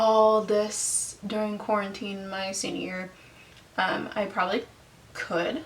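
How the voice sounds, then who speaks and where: A woman speaks at medium pitch with noticeable background noise. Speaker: vlogger and opera student. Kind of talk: casual vlog monologue. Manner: casual, with many fillers.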